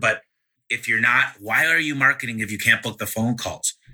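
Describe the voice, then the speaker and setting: A man's ordinary pitch variation comes through with music behind him. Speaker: podcast host. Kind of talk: interview. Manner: fast.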